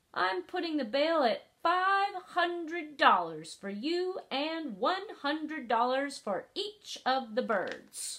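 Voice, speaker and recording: A woman puts on a character voice with a high pitch and very wide pitch swings. She speaks at a very slow pace, with hardly any pauses. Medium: read story. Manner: firm, unbending.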